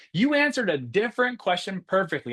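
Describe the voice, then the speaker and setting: With an American accent, a man talks at a fairly quick pace with very wide pitch swings. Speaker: math educator. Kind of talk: webinar presentation. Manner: fast; animated.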